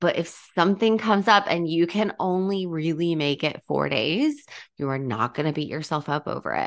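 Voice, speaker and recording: This woman has a plain, everyday voice with a fairly low pitch. She speaks at a moderate pace with lively intonation. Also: quiet background. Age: 40s. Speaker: nutrition coach and personal trainer. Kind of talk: solo podcast monologue. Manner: casual with frequent fillers.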